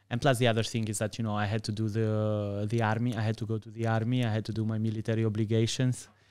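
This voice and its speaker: Very fast, monotone, flat speech from a man on a very clean recording with a silent background. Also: medium pitch for a man, hardly any pauses. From Greece and Albania. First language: Albanian or Greek. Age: 30s. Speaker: podcast guest. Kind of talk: casual chat. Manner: halting, many fillers.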